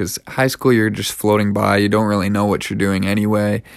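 In a very clean recording with a silent background, a man with a Canadian accent and a normal speaking voice talks at a moderate pace with a fairly low pitch. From Canada. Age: 20s. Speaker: podcast host. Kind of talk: personal monologue.

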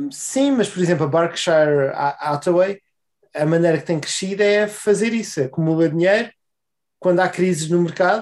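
The pace is moderate. A man talks in a high-pitched voice. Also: ordinary pitch variation. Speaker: podcast co-host. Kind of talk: casual chat.

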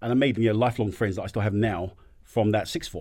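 This man has a fairly low pitch and fairly even intonation. The recording is very clean, with a silent background. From African background, raised in UK. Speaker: business owner, entrepreneur.

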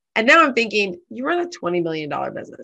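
Very fast speech comes from a woman with an American accent. Her pitch is fairly high. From Southern California. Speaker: small business owner and certification consultant. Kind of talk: interview.

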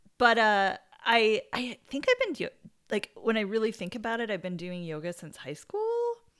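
A woman with an American accent speaks in an unremarkable speaking voice at a fairly high pitch. Her pace is moderate, her pitch variation ordinary, and her loudness swings widely. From United States. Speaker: podcast co-host, yoga practitioner. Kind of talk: casual chat.

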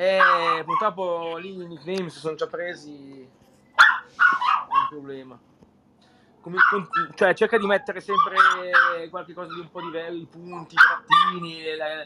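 Loudness swings widely, and the pace is fairly slow with long, frequent pauses. Noticeable background noise runs underneath. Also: man. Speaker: chat room host. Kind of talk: casual chat.

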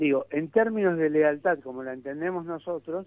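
Moderate pace, ordinary pitch variation and a normal speaking voice from a man. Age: 60s. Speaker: political analyst. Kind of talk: radio interview. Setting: phone call.

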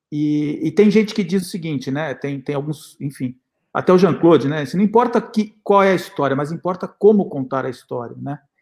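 Lively intonation marks a man's fairly high voice. He speaks at a moderate pace. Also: hardly any pauses. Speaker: documentary filmmaker and professor. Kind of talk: panel interview.

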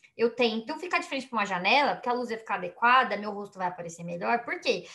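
Very fast and high-pitched, a woman talks with lively intonation. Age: 30s. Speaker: podcast co-host. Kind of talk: casual chat. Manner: animated.

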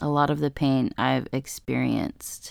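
Fairly slow speech on a very clean recording with a silent background. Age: 20s. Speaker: podcaster and blogger. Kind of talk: personal monologue. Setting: recording in a closet. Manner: hesitant, many fillers.

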